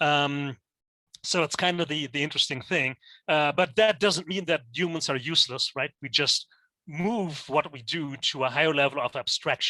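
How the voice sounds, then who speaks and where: A man with a German accent speaks at a fairly high pitch and moderate pace, with a bright, sharp tone and ordinary pitch variation. The very clean recording has a silent background and a dry, close sound with no echo. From Germany. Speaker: teacher. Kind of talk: lecture. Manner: halting, many fillers.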